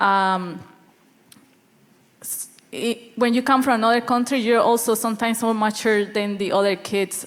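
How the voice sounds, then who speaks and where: A woman's fairly high voice in a Spanish accent, with long, frequent pauses and big swings in loudness. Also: fairly even intonation, moderate pace. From Colombia. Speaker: student panelist. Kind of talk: panel discussion.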